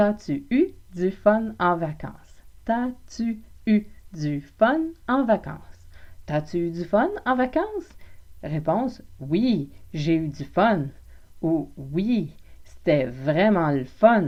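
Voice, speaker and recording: The speaker has a Quebec accent, a playful tone, and a very slow pace. The pitch swings very widely, and there are long, frequent pauses. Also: woman, medium pitch for a woman. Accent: Québécois French. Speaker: French language teacher, podcaster. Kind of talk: language lesson podcast. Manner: informal, playful.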